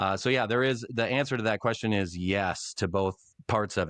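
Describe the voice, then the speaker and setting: Over a quiet background, a man with a fairly low pitch talks at a moderate pace, the sound dry and close with no echo. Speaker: former radio play-by-play announcer. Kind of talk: interview conversation. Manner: casual conversational.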